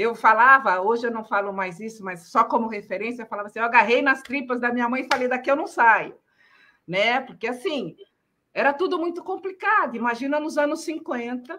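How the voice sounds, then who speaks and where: Her high, bright and sharp voice moves at a fairly quick pace, the woman's intonation lively throughout. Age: 60s. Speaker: journalist. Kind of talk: interview.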